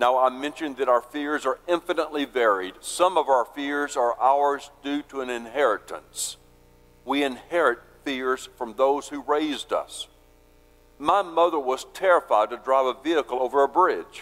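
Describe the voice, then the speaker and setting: A man speaks in an unremarkable speaking voice, fairly high-pitched, with ordinary pitch variation at a moderate pace. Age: 60s. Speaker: pastor. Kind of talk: sermon.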